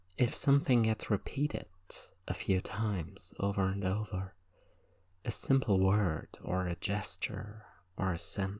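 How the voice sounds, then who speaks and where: A man's fairly low, somewhat breathy voice at a fairly slow pace, on a very clean recording with a silent background. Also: ordinary pitch variation. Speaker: hypnotist. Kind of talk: recreational hypnosis session. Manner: conversational, rambling.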